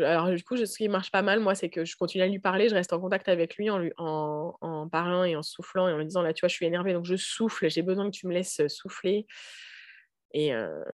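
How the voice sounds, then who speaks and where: A woman with a medium pitch talks fairly quickly. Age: 30s. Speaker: mother and health professional. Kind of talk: testimony. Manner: halting.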